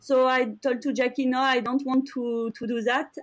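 On a very clean recording with a silent background, a woman with a French accent speaks at a moderate pace in a high voice. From France. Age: 40s. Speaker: professional endurance athlete. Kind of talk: interview.

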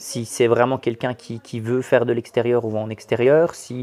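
A man speaks at a moderate pace in a medium pitch. His tone is dark and mellow, and his intonation stays fairly even. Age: 40s. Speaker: sports coach. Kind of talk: interview. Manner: halting.

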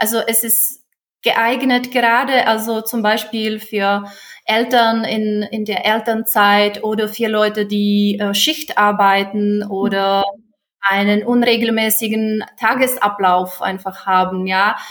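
Very slowly, a woman with a Czech accent speaks at a fairly high pitch in a monotone, flat way. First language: Czech (speaking German). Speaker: German teacher. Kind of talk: interview. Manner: halting.

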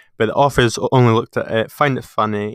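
A man with a Scottish accent talks at a fairly quick pace, the sound dry and close with no echo. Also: very clean recording, silent background. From Scotland, Peebles. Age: 20s. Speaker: podcast host. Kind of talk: casual chat. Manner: hesitant.

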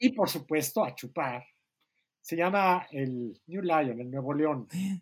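In a very clean recording with a silent background, a man speaks very slowly at a fairly high pitch with lively intonation. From Mexico. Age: 60s. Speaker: writer and editor. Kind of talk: casual chat.

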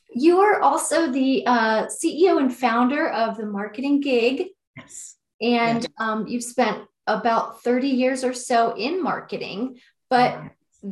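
A woman with a high voice speaks at a very slow pace, her intonation lively and her loudness rising and falling sharply. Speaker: radio host. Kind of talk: interview, friendly chat.

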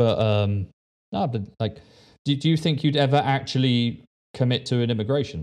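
Against a quiet background, a man with medium pitch and ordinary pitch variation talks at a moderate pace with long, frequent pauses. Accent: English. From England. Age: 20s. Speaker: podcast host. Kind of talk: casual chat.

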